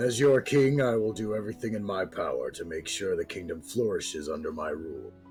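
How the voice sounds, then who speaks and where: A man uses a put-on character voice at a fairly quick pace with hardly any pauses. Music is clearly heard behind him. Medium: actual play. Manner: pompous, declamatory.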